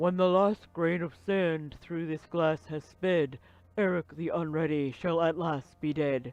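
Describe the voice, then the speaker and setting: A man puts on a high character voice and speaks at a fairly slow pace. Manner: portentous, ominous.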